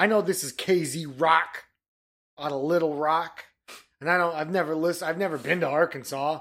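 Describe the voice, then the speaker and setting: Speaking in a plain, everyday voice, a man with an American accent keeps a fairly high pitch, a moderate pace and fairly even intonation in a very clean recording with a silent background. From Michigan. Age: 30s. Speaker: podcast co-host. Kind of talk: casual chat.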